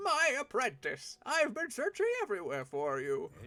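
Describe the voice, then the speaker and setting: Extremely high pitch from a man doing a put-on character voice. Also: moderate pace. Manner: formal, old-fashioned.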